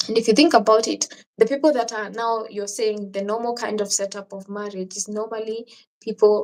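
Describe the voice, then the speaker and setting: With a Kenyan accent, a woman of fairly high pitch speaks with fairly even intonation. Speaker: travel vlogger. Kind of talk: live stream chat reading viewer questions. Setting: live stream.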